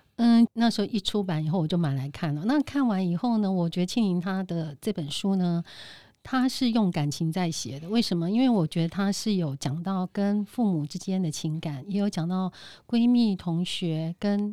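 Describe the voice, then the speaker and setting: Over a very clean recording with a silent background, a woman talks in a Taiwanese accent. Her medium pitch carries lively intonation at a moderate pace. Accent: Taiwanese Mandarin. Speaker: event host. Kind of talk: casual chat.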